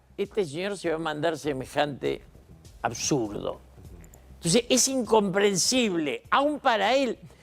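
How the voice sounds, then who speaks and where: Over music in the background, a man with a high voice talks at a fairly slow pace, his pitch swinging very widely. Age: 80s+. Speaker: political commentator. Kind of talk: TV interview.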